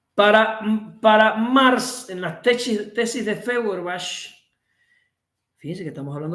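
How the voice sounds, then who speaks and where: The voice has a bright, sharp tone, a moderate pace, ordinary pitch variation and big swings in loudness, with audible room echo. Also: man. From Cuba. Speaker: workshop instructor. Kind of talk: lecture. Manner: animated.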